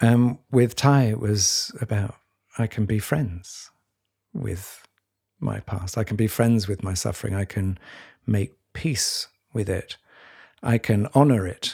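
At a very slow pace with long, frequent pauses, a man with a fairly low pitch, ordinary pitch variation and a somewhat breathy voice speaks on a very clean recording with a silent background. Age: 60s. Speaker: journalist and podcast co-host. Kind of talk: conversational interview.

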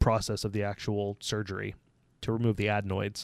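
Very clean audio of a man's voice against total background silence. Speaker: podcast co-host. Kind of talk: casual banter. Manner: sarcastic, joking.

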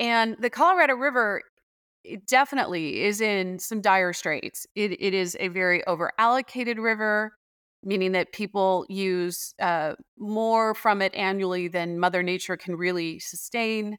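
In an American accent, a woman talks at a medium pitch and a moderate pace with ordinary pitch variation. The recording is very clean, and the background is silent. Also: dry, close sound with no echo. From Arizona (Tempe). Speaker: water policy researcher and professor. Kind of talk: interview. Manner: hesitant with frequent fillers.

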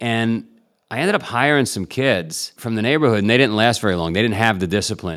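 The speaker has a New York accent with ordinary pitch variation. The recording is very clean, with a silent background. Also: man. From New York City (Queens). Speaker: entrepreneur and endurance athlete. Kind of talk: interview.

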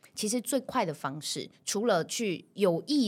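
The pitch of this woman's voice swings very widely. She rises and falls across a broad range. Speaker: voice coach. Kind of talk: interview chat with voice tutorial. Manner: animated.

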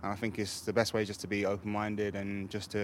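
A man with an English accent, fairly low in pitch, at a very fast pace. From England. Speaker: football goalkeeper. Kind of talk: casual interview. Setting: club training centre.

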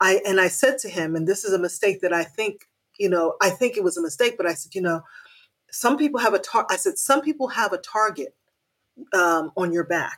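A woman with an ordinary speaking voice, medium pitch and lively intonation. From Haiti, raised in the United States. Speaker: mother, community volunteer. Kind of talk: casual chat.

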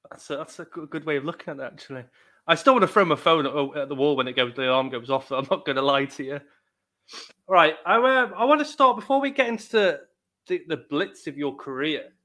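Talking fairly quickly, a man uses a fairly high pitch and lively intonation with a Welsh accent. His loudness swings widely. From Wales. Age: 30s. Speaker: podcast host. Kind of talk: interview. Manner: halting.

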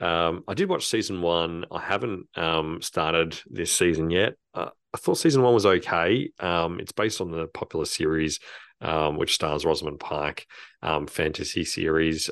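A man with an Australian accent speaks at a moderate pace in a very deep, low pitch with ordinary pitch variation. The sound is dry and close, with no echo. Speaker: podcast co-host, film reviewer. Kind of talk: casual chat.

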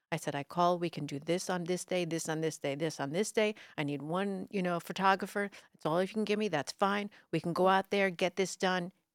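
In a very clean recording with a silent background, a woman with an American accent talks at a fairly quick pace and a fairly low pitch, hardly pausing at all. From New York City (Brooklyn), later New Jersey. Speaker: TV news anchor. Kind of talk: casual interview chat. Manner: bubbly.

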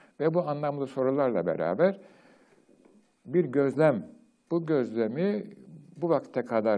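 Vocal fry colors a man's speech as he talks at a fairly slow pace. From Turkey. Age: old. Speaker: retired professor, program host. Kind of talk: lecture. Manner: formal.

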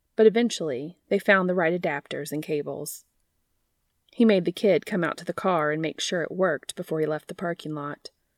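On a very clean recording with a silent background, a woman with an unremarkable speaking voice talks at a fairly quick pace in a fairly low pitch, with ordinary pitch variation and a dry, close sound with no echo. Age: 30s. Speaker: fan fiction podcast host and reader. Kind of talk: reading aloud fan fiction; casual chat.

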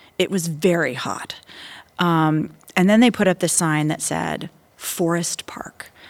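A woman's fairly low voice in an American accent, with ordinary pitch variation, a fairly slow pace and noticeable background noise. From US South, Florida. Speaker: diplomat. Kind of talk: interview.

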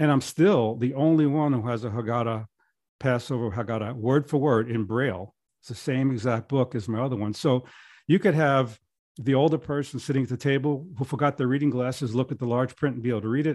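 Against a quiet background, a man speaks fairly quickly in a normal speaking voice, at a medium pitch with ordinary pitch variation. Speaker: author and podcast host. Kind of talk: casual interview. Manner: casual, conversational with filler words.

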